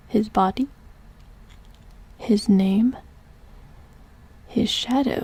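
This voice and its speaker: A woman's somewhat breathy whisper at a very slow pace. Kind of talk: sleep story. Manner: whispered.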